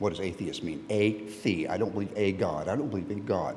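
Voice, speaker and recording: Man with an American accent, fairly low pitch and moderate pace, amid audible room echo. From Texas. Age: 70s. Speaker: lay preacher, church member. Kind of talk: sermon. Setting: church. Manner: conversational, halting.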